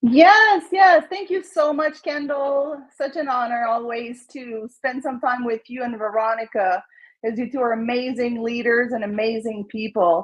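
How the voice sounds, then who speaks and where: With a slight French Canadian accent, a woman speaks fairly slowly and hardly pauses, using a high pitch and lively intonation. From Quebec, Montreal. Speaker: real estate agent. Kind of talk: casual interview.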